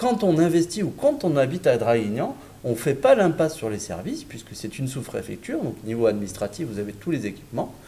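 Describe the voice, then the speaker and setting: A man with a fairly high pitch and a dark, mellow tone speaks at a moderate pace, somewhat breathy. His pitch swings very widely. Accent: southern French. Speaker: real estate developer representative. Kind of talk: sales presentation in online webinar. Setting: virtual event broadcast. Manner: hesitant, with filler words and repetitions.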